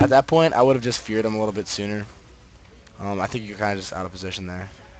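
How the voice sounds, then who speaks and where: Talking at a very fast pace, a man with a fairly low pitch shows ordinary pitch variation and big swings in loudness. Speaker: video game coach. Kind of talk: replay analysis commentary. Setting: screen recording with mic. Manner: halting, filler-heavy; casual.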